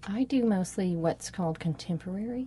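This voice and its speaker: A woman's somewhat breathy, dark and mellow voice at a moderate pace. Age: 40s. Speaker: dancer. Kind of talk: interview. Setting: farmer's market.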